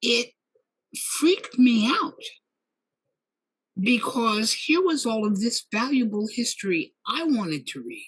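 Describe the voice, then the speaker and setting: A woman's fairly high voice at a very slow pace, with very wide pitch swings and long, frequent pauses. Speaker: leather community elder, archivist, library founder. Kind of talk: interview answer, storytelling. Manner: storytelling.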